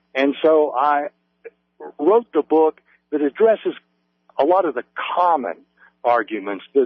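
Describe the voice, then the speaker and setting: Speaking fairly slowly with an Appalachian accent, a man uses a fairly high pitch and lively intonation. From West Virginia, US. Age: 50s. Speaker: author. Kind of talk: radio interview.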